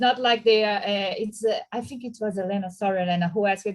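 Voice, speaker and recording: This woman has a Portuguese accent. Her pitch sits fairly high. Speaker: history professor commenting on a panel. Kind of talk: academic web-seminar comment. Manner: halting, many restarts and fillers.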